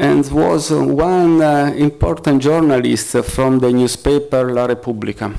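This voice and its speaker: Medium-pitched male speech in an Italian accent, with ordinary pitch variation and a fairly slow pace. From Italy. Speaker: freelance journalist and activist. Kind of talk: press conference talk. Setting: press conference. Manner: halting, many fillers.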